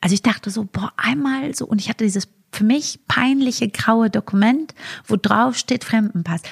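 At a moderate pace, a woman speaks in a somewhat breathy, fairly high voice with ordinary pitch variation and a dry, close sound with no echo. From Germany, Frankfurt area. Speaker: comedian. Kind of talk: podcast interview.

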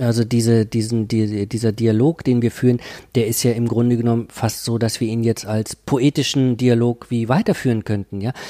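At a moderate pace and a medium pitch, a man speaks in a dark, mellow tone with monotone, flat intonation, recorded very clean against a silent background with a dry, close sound and no echo. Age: 50s. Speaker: professor of cultural studies. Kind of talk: interview. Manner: hesitant, many fillers.

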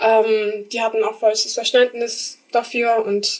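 Fairly slowly, a woman talks at a fairly high pitch in a flat monotone. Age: 20s. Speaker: apprentice. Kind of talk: casual interview.

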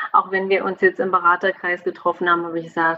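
A woman's fairly low-pitched voice. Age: 40s. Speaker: family coach. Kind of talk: interview. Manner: animated.

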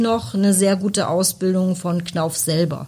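A woman speaks at a very slow pace and a medium pitch, somewhat breathy. The recording is very clean, with a silent background. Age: 40s. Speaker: technical support manager. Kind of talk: casual interview.

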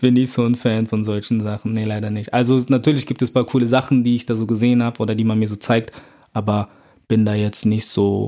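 A man speaks at a very fast pace with a medium pitch. His tone is dark and mellow, his intonation monotone and flat. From Germany, Bonn. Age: 20s. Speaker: rapper and student. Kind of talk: casual interview.

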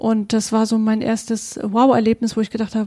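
A woman speaks with a fairly high pitch and a dark, mellow tone. The sound is dry and close, with no echo. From Vorpommern, Germany (near Greifswald). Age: 30s. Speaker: podcast co-host, networker. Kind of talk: casual conversation.

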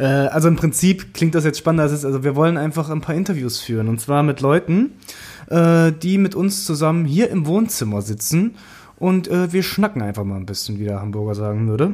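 Pitch swings very widely as the words come at a fairly quick pace. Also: man, fairly high pitch for a man. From eastern Germany, Thuringia. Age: 20s. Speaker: podcast co-host. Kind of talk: casual chat.

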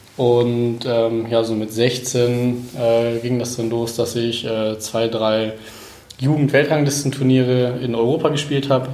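A man speaks at a very slow pace with a medium pitch. Audible room echo is present. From northern Germany, Cuxhaven. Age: 20s. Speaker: former tennis player, fitness trainer. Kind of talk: interview. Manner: halting, many fillers.

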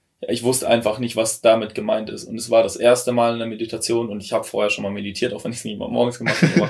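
A man's very fast, nearly pause-free speech with big swings in loudness, over noticeable background noise. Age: 20s. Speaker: former coaching client. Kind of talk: casual chat. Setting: in a tiny house.

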